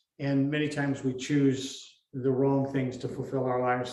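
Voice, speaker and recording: A man's flat, monotone voice in an American accent, with audible room echo. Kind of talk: interview. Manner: halting.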